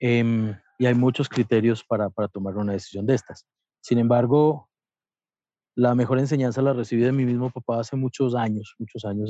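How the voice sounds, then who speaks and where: At a moderate pace, a man speaks with a dark, mellow tone, medium pitch, and fairly even intonation, the sound dry and close with no echo. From Colombia, Antioquia (paisa). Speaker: photographer and hotel worker. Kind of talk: interview.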